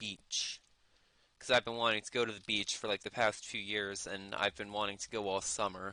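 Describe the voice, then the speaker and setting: This man's voice sits fairly low in pitch. It carries a bright, sharp tone. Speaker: game streamer. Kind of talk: casual chat. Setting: live stream. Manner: unenthusiastic.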